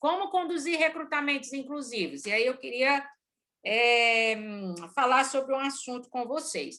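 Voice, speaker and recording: Her voice is raised and projected, with a high pitch and a bright, sharp tone. The woman talks at a fairly slow pace with ordinary pitch variation. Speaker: organizational consultant and lecturer. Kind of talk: lecture. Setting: video call. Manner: energetic.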